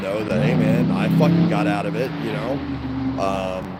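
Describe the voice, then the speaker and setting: With an American accent, a man speaks at a medium pitch with lively intonation, amid audible room echo and noticeable background noise. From Baltimore, Maryland (US). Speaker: livestreamer. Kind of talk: casual livestream chat. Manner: casual, rambling with fillers.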